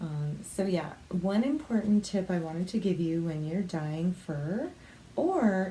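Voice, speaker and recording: A soft-spoken woman talks at a fairly slow pace and a medium pitch. Her intonation is lively. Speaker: craft vlogger. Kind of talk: tutorial. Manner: casual, filler-heavy.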